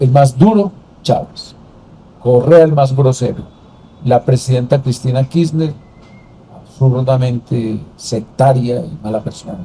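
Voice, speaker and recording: A somewhat breathy, dark, mellow voice at a very slow pace, with long, frequent pauses. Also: man, medium pitch for a man, ordinary pitch variation. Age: 70s. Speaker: former senator and political commentator. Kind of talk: interview conversation.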